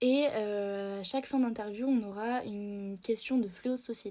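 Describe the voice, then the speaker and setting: This woman speaks in a dark, mellow tone with a fairly high pitch. Her intonation is fairly even and her pace fairly slow. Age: 20s. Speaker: beautician and video host. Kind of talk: casual monologue to camera. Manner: halting, many hesitations; unscripted, searching for words.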